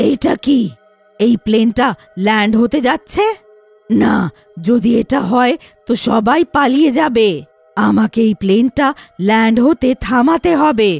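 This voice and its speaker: A female-sounding cartoonish character voice, fairly high for a woman, moves at a fairly slow pace over faint music in the background. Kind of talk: cartoon horror story. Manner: gloating.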